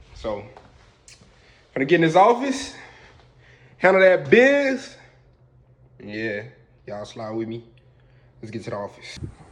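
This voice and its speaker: Amid audible room echo, a man speaks at a fairly slow pace with long, frequent pauses and big swings in loudness. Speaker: vlogger and engineer. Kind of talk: casual vlog. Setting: gym.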